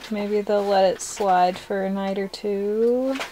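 Her pace is very slow, and her intonation is fairly even. Noticeable background noise runs behind the woman's voice. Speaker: travel vlogger. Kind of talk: casual vlog chat. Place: car.

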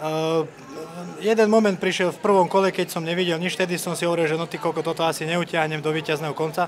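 The delivery comes at a very fast pace with fairly even intonation. Light background noise is present. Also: man, high pitch for a man. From Slovakia. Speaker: MMA fighter. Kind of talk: post-fight interview. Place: hall. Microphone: handheld.

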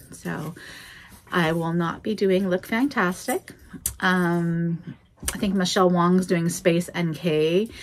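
Over music in the background, a woman with a General American accent speaks very slowly at a fairly low pitch. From Oregon, US. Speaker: vlogger. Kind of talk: angry rant, casual vlog. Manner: animated, exasperated, repetitive emphatic. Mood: ranty, joking. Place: office. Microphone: phone near.

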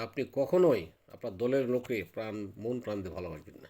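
This man's voice has a dark, mellow tone, lively intonation and a medium pitch. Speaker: army veteran. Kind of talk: political commentary monologue. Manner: halting.

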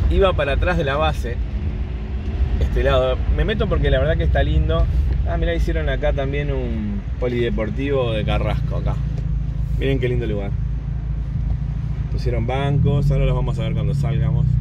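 A man talks at a fairly quick pace, the sound dry with no echo. Loud background noise fills the recording. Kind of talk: casual vlog chat. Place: car. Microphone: phone near.

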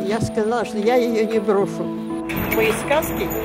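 A woman speaking at a very slow pace over loud background music. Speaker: self-published fairy tale author. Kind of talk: interview answer. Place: street.

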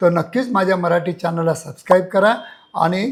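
A man with a high pitch speaks in fairly even intonation. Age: 60s. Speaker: sexologist doctor. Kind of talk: educational health talk to camera.

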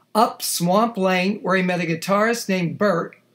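Fairly even intonation in plain reading aloud.

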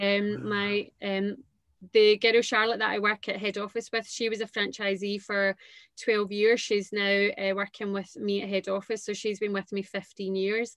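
In a Glaswegian accent, the speaker keeps a moderate pace and monotone, flat intonation, with a dry sound with no echo and a quiet background. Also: woman. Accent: Glaswegian Scottish. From Scotland, Renfrew near Glasgow. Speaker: entrepreneur, dance school founder. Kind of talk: casual interview. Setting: video call. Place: home room. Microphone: video call.

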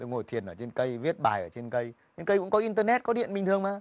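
Very wide pitch swings from a man at a very fast pace, dry sound with no echo. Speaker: journalist; talk show guest. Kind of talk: TV interview. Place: studio. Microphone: lapel.

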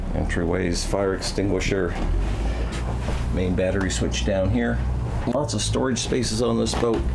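Music plays behind a man who talks at a moderate pace and leaves long, frequent pauses. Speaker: boat sales agent. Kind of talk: walkthrough tour commentary. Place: boat. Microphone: phone near.

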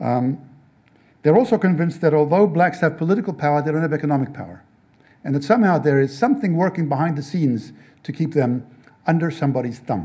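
A man with an American accent at a very fast pace, fairly high in pitch, somewhat breathy and dark and mellow in tone, with ordinary pitch variation. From South Africa. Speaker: novelist and speaker; speaker. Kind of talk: talk with audience Q&A. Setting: stage with audience. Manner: halting, many repetitions. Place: classroom. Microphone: podium.

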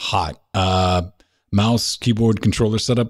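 Against a quiet background, a man with a fairly low pitch talks at a fairly slow pace in an animated, somewhat breathy tone. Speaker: gaming podcast host; podcast co-host. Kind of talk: casual chat. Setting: studio. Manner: animated, joking. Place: studio. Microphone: studio mic.

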